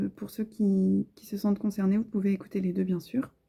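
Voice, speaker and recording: Soft-spoken and somewhat breathy, the voice has a gentle tone and a dark, mellow quality at a fairly quick pace. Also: woman. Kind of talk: tarot card reading, relaxing ASMR-style talk to camera. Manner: soft-spoken, gentle.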